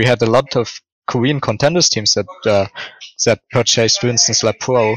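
A man talks with a German accent at a medium pitch. His pace is moderate and his pitch varies in an ordinary way. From Germany, Ruhr area. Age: 20s. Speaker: esports analyst. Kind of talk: casual interview chat.

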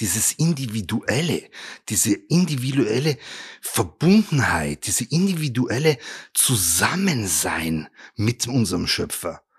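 With vocal fry and very wide pitch swings, a man speaks very slowly at a medium pitch. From Bavaria, Germany (Regensburg). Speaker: rabbi. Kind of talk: motivational talk. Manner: animated.

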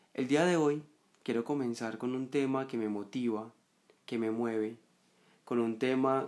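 At a moderate pace and medium pitch, a man speaks in a normal speaking voice with fairly even intonation, on a very clean recording with a silent background. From Colombia, Medellín. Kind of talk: reflective monologue.

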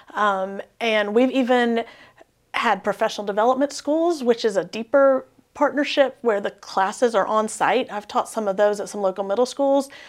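Ordinary pitch variation marks a plain, everyday voice. The speed is moderate. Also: woman, fairly high pitch for a woman. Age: 40s. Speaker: education professor. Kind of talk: interview.

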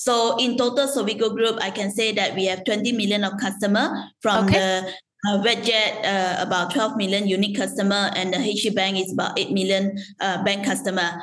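A woman at a medium pitch and fairly quick pace, with fairly even intonation, very even loudness, audible room echo and noticeable background noise. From Malaysia. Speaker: loyalty program executive. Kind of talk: interview. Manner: halting, many fillers.

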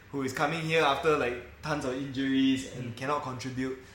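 A man is heard with audible room echo. There is noticeable background noise as well. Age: 30s. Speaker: football fan podcast host. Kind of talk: casual chat.

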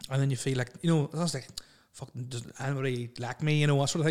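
On a very clean recording with a silent background, a man with a Northern Irish accent speaks in a fairly high voice. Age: 30s. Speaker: podcast host. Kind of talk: casual chat.

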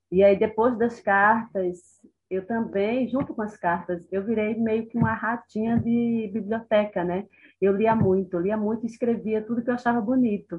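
Here a woman with an unremarkable speaking voice talks at a moderate pace. Her pitch sits fairly high, and her intonation is fairly even. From Brazil, Recife (Pernambuco). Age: 40s. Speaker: writer and educator. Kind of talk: interview conversation.

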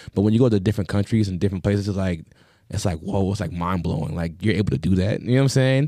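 Very deep, low male voice, dark and mellow in tone, very fast, with ordinary pitch variation and a New York accent. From Long Island, New York. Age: 30s. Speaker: DJ. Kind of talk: casual chat.

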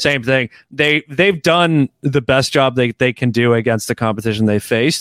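With a Canadian accent and a normal speaking voice, a man talks at a moderate pace and a medium pitch, with ordinary pitch variation, very even loudness, and a dry, close sound with no echo. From Canada. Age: 30s. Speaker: podcaster and football analyst. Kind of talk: casual chat.

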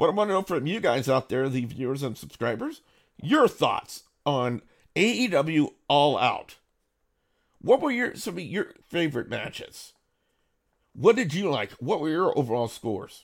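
Using an American accent, the speaker moves at a moderate pace with very wide pitch swings and long, frequent pauses. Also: man, fairly high pitch for a man. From Louisiana (Cajun). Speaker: wrestling commentator and YouTube host. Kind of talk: solo review show. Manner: casual, filler-heavy.

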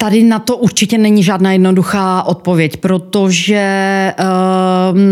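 Her pace is very slow and her intonation monotone and flat. The speaker is a woman with a medium pitch. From Czechia, Ostrava. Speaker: company co-owner. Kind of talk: interview.

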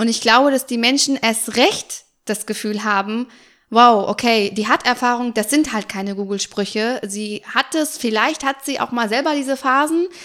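On a very clean recording with a silent background, a woman speaks at a fairly high pitch. Her pace is moderate and her pitch varies in an ordinary way. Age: 30s. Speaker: make-up artist and cosmetics entrepreneur. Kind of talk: interview.

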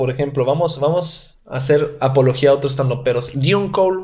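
A man's fairly high-pitched voice at a fairly quick pace, with ordinary pitch variation over noticeable background noise. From Italy. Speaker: stand-up comedian. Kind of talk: casual chat.

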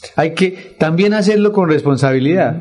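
A man talking at a fairly quick pace. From Colombia, Santander (Vélez province). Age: 40s. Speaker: local council candidate and businessman. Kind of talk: radio interview. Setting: radio studio. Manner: halting, with frequent repetitions.

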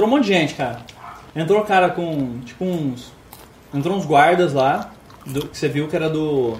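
Amid noticeable background noise and audible room echo, a man with a fairly high voice talks at a moderate pace with long, frequent pauses. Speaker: game master of a tabletop RPG stream. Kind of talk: RPG narration and play. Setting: live stream.

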